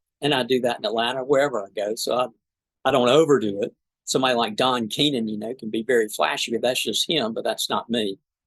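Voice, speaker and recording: A man with a strong South Georgia accent, medium pitch, fairly even intonation and a very fast pace. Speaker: trial lawyer. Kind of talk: podcast interview.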